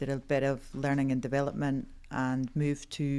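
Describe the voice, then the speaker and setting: A woman's very deep, low voice in a Scottish accent at a moderate pace, on a very clean recording with a silent background. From Scotland. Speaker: HR executive. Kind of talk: interview.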